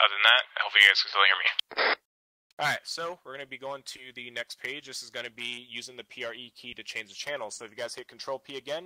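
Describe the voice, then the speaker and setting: In a dry, close recording with no echo, a man speaks very fast in a bright, sharp tone. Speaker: milsim training instructor. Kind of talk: tutorial.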